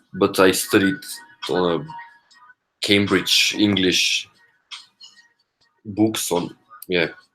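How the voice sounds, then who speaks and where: Over music in the background, a man with a fairly low pitch talks at a very slow pace with ordinary pitch variation and long, frequent pauses. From Bulgaria. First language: Bulgarian. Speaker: coding study livestreamer. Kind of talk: casual livestream chat. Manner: halting, with repeated words.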